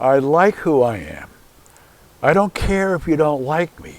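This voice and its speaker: The speaker is a man talking at a very slow pace. The sound is dry and close, with no echo. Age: 80s+. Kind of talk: interview answer.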